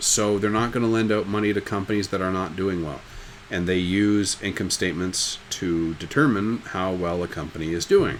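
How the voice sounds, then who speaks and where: Against noticeable background noise and audible room echo, a man speaks at a fairly quick pace. His pitch sits fairly low. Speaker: high school business teacher. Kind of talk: recorded lecture. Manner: fast; casual, joking.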